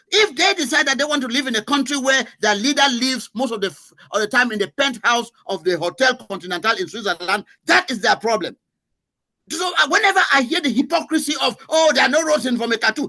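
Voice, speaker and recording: Raised and projected, a man's extremely high voice has a bright, sharp, animated tone, very wide pitch swings and a fairly quick pace. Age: 60s. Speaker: veteran journalist. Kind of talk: heated debate. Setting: studio.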